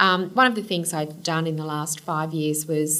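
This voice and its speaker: A woman with a fairly low voice talks at a moderate pace in an Australian accent, with audible echo in the room. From Queensland, Australia (Kingaroy, then Brisbane). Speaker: senior lawyer and law firm managing partner. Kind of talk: interview. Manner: energetic, enthusiastic.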